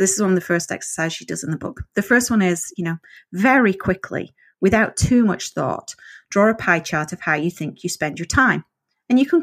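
A woman with a northern English accent at a moderate pace with ordinary pitch variation, in a dry, close sound with no echo on a very clean recording with a silent background. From northern England. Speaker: author. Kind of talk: casual interview chat.

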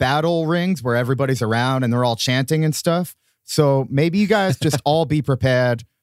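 Someone is reading aloud in a natural voice, with ordinary pitch variation over a quiet background.

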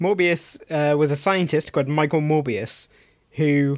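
A man with a British accent speaks at a fairly slow pace in a very clean recording with a silent background. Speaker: podcast co-host. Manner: sardonic, dry humor.

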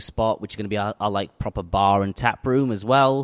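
Fairly low in pitch, a man with a Yorkshire accent and fairly even intonation, on a very clean recording with a silent background. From northern England, West Yorkshire (Huddersfield). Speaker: head brewer. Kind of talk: casual interview over beers. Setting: brewery tap room.

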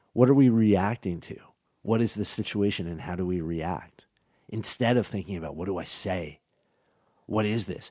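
Speaking at a moderate pace with long, frequent pauses, a man with a fairly low pitch, ordinary pitch variation and a dark, mellow tone is heard on a very clean recording with a silent background. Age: 40s. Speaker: podcast host on voice technology. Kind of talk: solo podcast monologue. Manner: conversational, some self-repetition.

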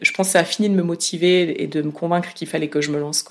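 A woman speaks in a normal speaking voice, fairly low in pitch, at a fairly quick pace with fairly even intonation. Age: 30s. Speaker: independent podcaster. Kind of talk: interview. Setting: home office.

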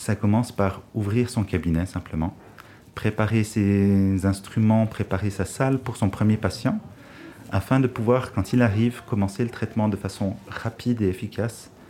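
With fairly even intonation, an ordinary speaking voice keeps a moderate pace. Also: man. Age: 30s. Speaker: dental hygienist. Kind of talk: interview about his job.

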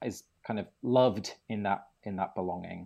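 Against a quiet background, a man with an English accent speaks at a moderate pace in a dark, mellow tone with ordinary pitch variation. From England. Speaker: ritual designer and author. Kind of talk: casual interview chat. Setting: recorded with hosts in person.

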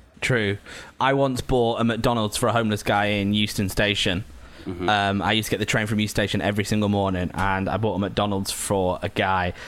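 Using fairly even intonation, a man with a Lancashire accent talks at a fairly quick pace with a fairly low pitch. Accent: northern English (Lancashire). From Lancashire, northern England. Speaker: podcast host. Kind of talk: casual chat. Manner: laughs a lot.

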